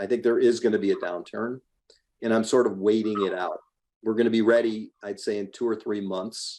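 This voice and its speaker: A man with a dark, mellow tone talks at a fairly quick pace and medium pitch in a monotone, flat intonation. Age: 60s. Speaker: real estate investor. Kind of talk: podcast interview.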